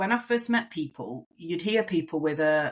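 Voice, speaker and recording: In a strong English accent, a woman talks at a moderate pace with very wide pitch swings. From northern England, near Manchester. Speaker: migrant to Australia. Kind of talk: podcast interview.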